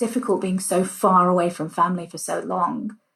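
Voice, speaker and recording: Somewhat breathy, a woman talks at a medium pitch and a moderate pace. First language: Punjabi. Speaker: cultural heritage organiser. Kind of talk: interview conversation. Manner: animated.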